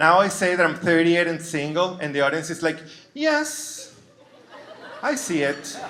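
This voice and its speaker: A man with a high pitch talks at a moderate pace with ordinary pitch variation and long, frequent pauses, with audible room echo and noticeable background noise. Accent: Venezuelan. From Venezuela. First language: Spanish. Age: 30s. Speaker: comedian. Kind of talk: stand-up. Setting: stage with audience.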